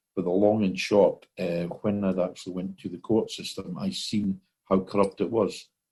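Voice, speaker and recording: A man's fairly low, dark, mellow voice in a Scottish accent, monotone and flat in intonation at a moderate pace. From Scotland. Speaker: common law court founder. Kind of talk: interview. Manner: hesitant, many fillers.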